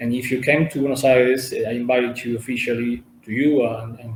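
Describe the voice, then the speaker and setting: The man speaks with an Italian accent at a medium pitch, keeping his intonation fairly even. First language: Italian or Spanish. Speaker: representative of a cultural and humanitarian organization. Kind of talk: interview. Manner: halting.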